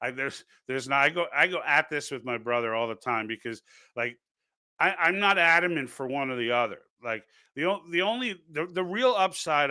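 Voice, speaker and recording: In a Brooklyn accent, the voice has a bright, sharp tone and ordinary pitch variation on a very clean recording with a silent background. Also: man. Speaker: political livestream host. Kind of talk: live stream commentary reading chat comments. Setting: live stream. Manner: halting, many false starts.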